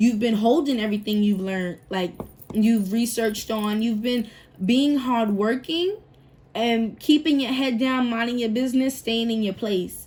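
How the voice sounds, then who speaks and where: With a somewhat breathy, fairly high voice, the woman talks fairly slowly, her pitch varying in an ordinary way. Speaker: tarot reader. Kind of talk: tarot reading monologue. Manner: casual, thinking aloud with fillers; stumbling over words at times.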